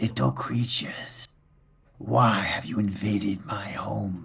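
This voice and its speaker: A man whispers in a raspy, put-on character voice. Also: fairly slow pace. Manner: faint, whispering.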